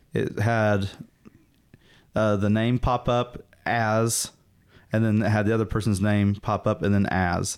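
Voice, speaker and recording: A man with a Southern US accent at a fairly low pitch, fairly even intonation, and a fairly slow pace with long, frequent pauses, on a very clean recording with a silent background. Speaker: podcast co-host. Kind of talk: casual chat.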